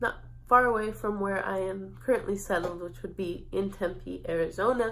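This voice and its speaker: Recorded with audible room echo, a woman speaks at a medium pitch. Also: ordinary pitch variation, moderate pace. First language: Spanish. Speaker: university student. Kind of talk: mock job interview.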